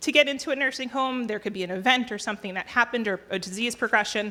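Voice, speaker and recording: Recorded very cleanly against a silent background, a woman talks with a bright, sharp tone at a fairly high pitch and ordinary pitch variation. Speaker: state program presenter. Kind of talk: presentation. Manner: fast.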